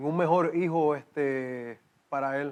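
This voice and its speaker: Against a quiet background, a man with a slight Cuban accent speaks in a fairly high pitch with fairly even intonation. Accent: slight Cuban tinge. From Puerto Rico. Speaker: exercise physiologist. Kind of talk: interview testimony.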